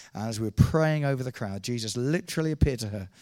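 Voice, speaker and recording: A medium-pitched man at a very fast pace, with ordinary pitch variation, on a very clean recording with a silent background. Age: 50s. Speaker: evangelist. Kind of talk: sermon.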